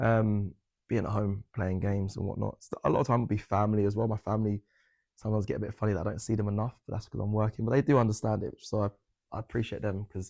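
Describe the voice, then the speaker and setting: Very fast, a man talks at a fairly low pitch with fairly even intonation. The sound is dry and close, with no echo. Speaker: football presenter. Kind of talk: interview.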